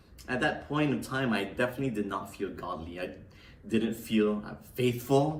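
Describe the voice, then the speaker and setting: There is audible room echo around this man's voice. He speaks at medium pitch and a moderate pace with lively intonation. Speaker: pastor. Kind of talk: sermon.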